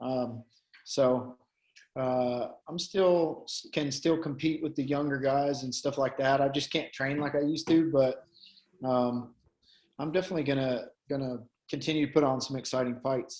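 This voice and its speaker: A man with a Tennessee accent, fairly high in pitch, with fairly even intonation, a moderate pace and long, frequent pauses. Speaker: MMA fighter. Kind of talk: casual chat.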